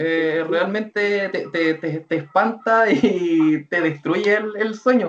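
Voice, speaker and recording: A man talks at a very slow pace. His voice is high with ordinary pitch variation. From Chile. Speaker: anime content creator. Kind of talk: interview. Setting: video call.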